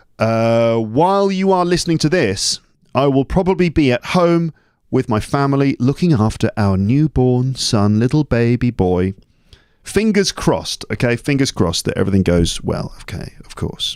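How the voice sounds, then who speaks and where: A man with a British accent at medium pitch and moderate pace, with very wide pitch swings, on a very clean recording with a silent background and a dry, close sound with no echo. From England. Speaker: English teacher and podcaster. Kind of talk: casual podcast monologue. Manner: chatty, digressive.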